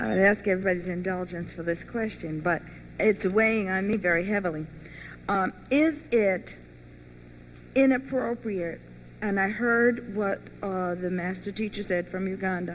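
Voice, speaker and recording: A woman speaks at a medium pitch with ordinary pitch variation. Her delivery has long, frequent pauses. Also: moderate pace. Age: 60s. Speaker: workshop attendee. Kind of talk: audience question. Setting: live workshop with audience. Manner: halting, hesitant.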